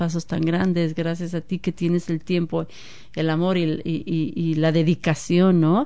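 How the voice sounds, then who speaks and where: The tone is dark and mellow, the intonation monotone and flat, and the pace fairly slow. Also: woman. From Mexico, Guadalajara. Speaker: former community group chair. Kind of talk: radio interview.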